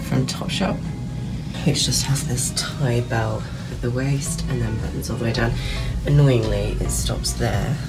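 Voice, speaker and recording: A woman speaks with loud music playing in the background. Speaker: fashion vlogger. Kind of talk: casual try-on vlog chat. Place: shop. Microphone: phone near.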